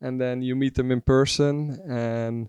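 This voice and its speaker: At a fairly slow pace, a man with a Dutch accent talks at a medium pitch, recorded dry and close with no echo. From Netherlands, Zeeland coastal village. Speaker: customer support staff. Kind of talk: casual interview. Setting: rooftop hotel location.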